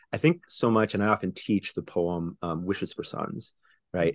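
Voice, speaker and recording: Against a quiet background, a man with an American accent talks at a moderate pace, the sound dry and close with no echo. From Houston, Texas. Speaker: poet and professor. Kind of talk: interview conversation.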